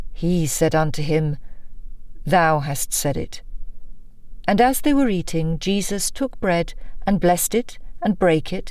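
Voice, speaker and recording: A woman's fairly low voice, fairly slow, with long, frequent pauses and lively intonation. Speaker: audiobook narrator. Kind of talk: non-fiction audiobook narration. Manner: engaging, authoritative.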